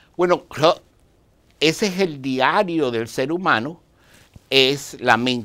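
A man's bright, sharp, fairly high voice at a very slow pace, broken by long, frequent pauses, against a quiet background. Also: ordinary pitch variation. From outside Dominican Republic. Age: 60s. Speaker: Dianetics practitioner; TV guest. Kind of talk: interview. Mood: humorous anecdote. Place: studio. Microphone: lapel.

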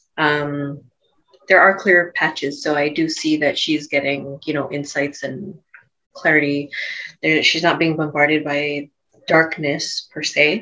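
Her voice is very deep and low for a woman, with monotone, flat intonation. She speaks at a fairly slow pace over a quiet background. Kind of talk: describing a session, free talk. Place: home room. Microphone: earbuds.

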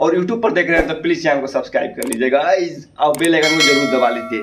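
There is light background noise as a man speaks at a high pitch. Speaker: vlogger. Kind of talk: casual vlog chat. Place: home room. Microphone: phone near.

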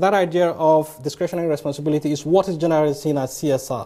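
Against a quiet background, a man talks very fast in a dark, mellow tone. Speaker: lecturer. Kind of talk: lecture. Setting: stage with audience. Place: hall.

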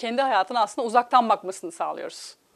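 Lively intonation from a woman at a fairly high pitch, over a quiet background. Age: 40s. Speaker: life coach. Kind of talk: TV interview. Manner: hesitant, many filler sounds. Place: studio.

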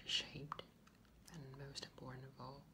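A relaxed tone over noticeable background noise. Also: man. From Taiwan. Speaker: ASMR creator. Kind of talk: ASMR soft-spoken chat to camera. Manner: soft-spoken, relaxed. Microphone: phone near.

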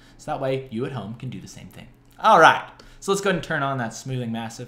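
A man talks with lively intonation while music plays in the background. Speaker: digital art tutorial host. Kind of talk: tutorial. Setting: home studio, screen recording. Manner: animated, casual, joking. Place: home room.

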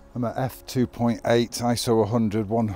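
Faint music sits in the background as a man speaks at a fairly low pitch, the sound dry with no echo. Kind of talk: tutorial commentary. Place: forest.

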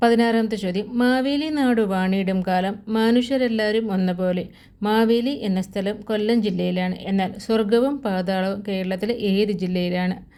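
Audible room echo surrounds a woman's medium-pitched voice. Her tone is dark and mellow, with ordinary pitch variation. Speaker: quiz video presenter. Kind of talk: reading quiz questions aloud.

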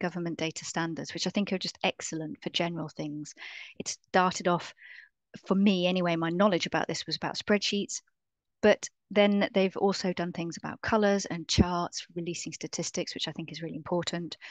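A woman with a plain, everyday voice speaks at a fairly quick pace and fairly even intonation, in a dry sound with no echo over a quiet background. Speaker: presenter. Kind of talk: lecture. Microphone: webcam.

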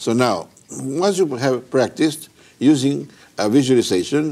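Male voice with a dark, mellow tone. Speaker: teacher of a mind method. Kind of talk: lecture. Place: home room.

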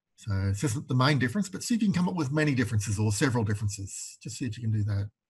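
A somewhat breathy voice talks at a very fast pace with ordinary pitch variation over a quiet background. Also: man. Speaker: university tutor. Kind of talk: lecture.

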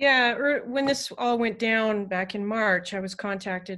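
Against a quiet background, a woman speaks fairly slowly in a bright, sharp voice with ordinary pitch variation. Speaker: university music professor. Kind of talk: online panel discussion. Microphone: video call.

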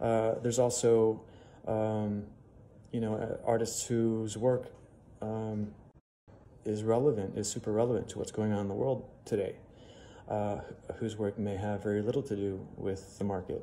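With an American accent, a man talks at a moderate pace in a fairly low, dark, mellow voice, flat and monotone, with long, frequent pauses over light background noise. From US Midwest (Chicago). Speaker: museum curator. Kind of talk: Q&A monologue for social media. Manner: hesitant with frequent fillers. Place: home room. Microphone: phone near.

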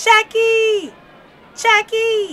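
A put-on character voice, bright and sharp in tone, with fairly even intonation at a very slow pace. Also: woman, extremely high pitch for a woman.

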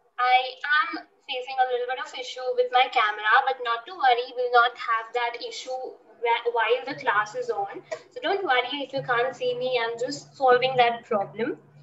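The speaker talks at a moderate pace with ordinary pitch variation and big swings in loudness, amid audible room echo and light background noise. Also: woman, high pitch for a woman. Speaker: online art teacher. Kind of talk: class introduction to children. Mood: reassuring, friendly. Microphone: video call.

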